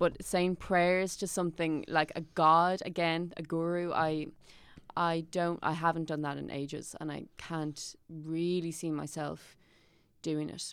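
In a very clean recording with a silent background, a woman with an Irish accent speaks at a fairly low pitch in a monotone, flat way. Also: fairly slow pace. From Ireland. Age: 20s. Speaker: actor and writer. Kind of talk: casual chat.

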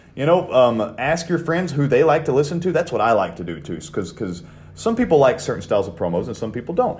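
His voice carries vocal fry. This man's pitch rises and falls very widely. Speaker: podcast host and wrestling coach. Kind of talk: podcast talk about wrestling promos.

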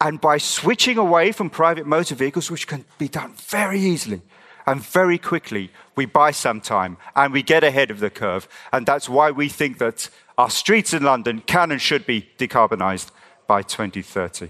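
Man with a bright, sharp, fairly high voice and vocal fry, very wide pitch swings, moderate pace. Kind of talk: rally-style campaign speech. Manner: impassioned, forceful, urgent.

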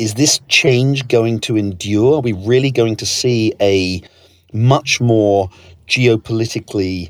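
Fairly low-pitched man's voice in a British accent, with ordinary pitch variation. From Britain. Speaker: podcast host, newspaper editor. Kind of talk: interview.

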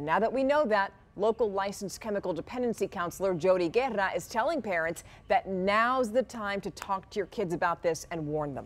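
A woman speaks with lively intonation. Hers is an unremarkable speaking voice. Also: medium pitch for a woman. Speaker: news anchor. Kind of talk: TV newsreading, scripted evening broadcast. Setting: TV news studio. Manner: polished, brisk, crisp anchor delivery; conversational, warm, direct address to viewers.

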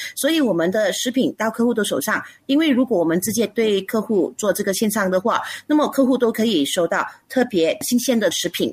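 On a very clean recording with a silent background, a woman with a fairly high pitch speaks somewhat breathily at a fairly quick pace, with lively intonation and very even loudness. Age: 40s. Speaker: food business founder. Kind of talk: radio interview.

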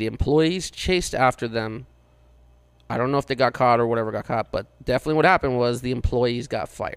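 A man with a medium pitch talks in an ordinary speaking voice, keeping his intonation fairly even. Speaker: podcast co-host. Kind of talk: casual banter podcast. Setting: in studio with host.

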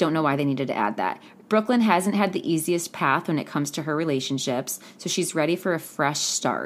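A woman's very deep, low voice, animated in tone, with lively intonation and a fairly quick pace. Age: 20s. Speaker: podcast host. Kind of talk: casual solo commentary. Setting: home recording studio.

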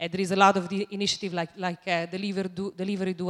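A woman with an Italian accent, very fast, monotone and flat, in a very clean recording with a silent background. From Italy. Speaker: audience member. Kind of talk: audience question. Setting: stage with audience.

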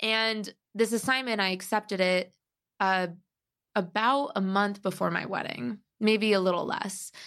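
With an American accent, a woman speaks at a fairly slow pace and medium pitch, with ordinary pitch variation and long, frequent pauses, on a very clean recording with a silent background. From US Midwest (Cleveland, Chicago). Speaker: travel editor and writer. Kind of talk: casual interview.

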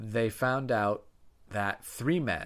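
A man speaks in a normal speaking voice at a fairly low pitch with lively intonation. The recording is very clean, with a silent background. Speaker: podcast co-host. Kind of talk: casual chat, true crime storytelling. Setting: living room recording, at home. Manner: playful, banter.

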